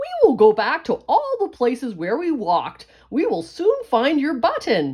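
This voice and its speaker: A woman's put-on character voice at a high pitch. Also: moderate pace. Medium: read story.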